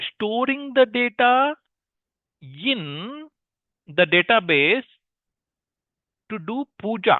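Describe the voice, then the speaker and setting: In an Indian accent, the speaker goes at a very slow pace with long, frequent pauses and very wide pitch swings. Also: man. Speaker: teacher. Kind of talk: live online class. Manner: interactive, questioning students.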